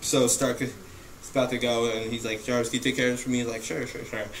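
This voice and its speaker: With audible room echo and noticeable background noise around him, a man talks at a medium pitch. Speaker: movie reviewer. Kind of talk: casual film review monologue. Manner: fast; halting, many fillers.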